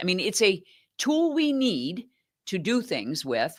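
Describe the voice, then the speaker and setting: Her voice carries vocal fry. This woman's pitch swings very widely. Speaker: nonprofit executive director. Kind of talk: interview answer.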